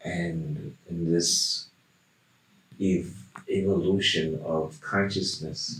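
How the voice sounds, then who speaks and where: Very slowly, a man talks in a very deep, low pitch with lively intonation. Noticeable background noise runs underneath. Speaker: shaman, hypnosis client. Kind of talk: hypnosis session answers in a deep trance. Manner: slow, dreamy, trance-like.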